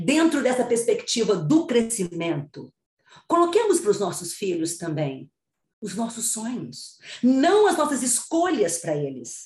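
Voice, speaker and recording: A woman speaks fairly slowly with vocal fry. Her pitch is fairly high and swings very widely. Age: 60s. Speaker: psychologist and author. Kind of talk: interview, expert advice.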